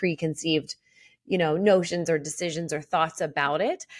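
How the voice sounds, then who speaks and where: With a Philadelphia accent, a woman speaks at a moderate pace. Her pitch is fairly low, and her intonation fairly even. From Philadelphia, US. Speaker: mortgage loan originator and regional vice president. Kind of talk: casual interview chat.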